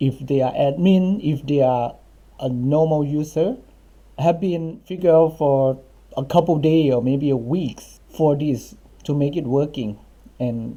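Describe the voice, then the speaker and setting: Speaking fairly slowly in a Thai accent, a man uses a fairly high pitch, a dark, mellow tone and ordinary pitch variation. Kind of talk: coding tutorial screencast. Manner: casual, conversational.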